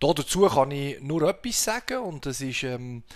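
The voice carries a Swiss accent. Its pitch variation is ordinary. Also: man. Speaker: podcast host. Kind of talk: casual chat. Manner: halting, many fillers.

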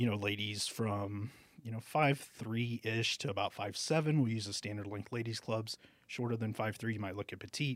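On a very clean recording with a silent background, a man speaks with an American accent at a moderate pace. His pitch is medium and his intonation fairly even. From Texas, Alice near Corpus Christi. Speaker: golf shop manager and club fitter. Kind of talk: interview. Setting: studio.

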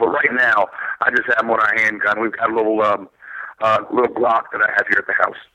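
A man with an American accent is heard over noticeable background noise. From Philadelphia, US. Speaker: political candidate, former Marine. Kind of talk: interview.

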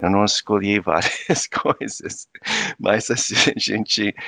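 Fairly slow speech from a man in an American accent, the sound dry and close with no echo. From US, Virginia Beach. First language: English (speaking Portuguese). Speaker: anthropology professor. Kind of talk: interview conversation. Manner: halting.

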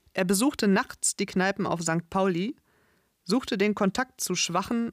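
A woman with a normal speaking voice talks at a fairly slow pace in a medium pitch with ordinary pitch variation, in a very clean recording with a silent background and a dry, close sound with no echo. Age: 30s. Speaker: podcast host, language and culture teacher. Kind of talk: scripted narration for language learners. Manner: clear, measured.

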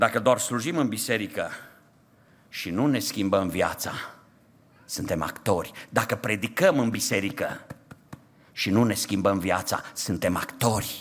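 This man's voice sits fairly low, with ordinary pitch variation. He moves at a fairly slow pace with long, frequent pauses. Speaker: pastor. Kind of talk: sermon. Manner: impassioned.

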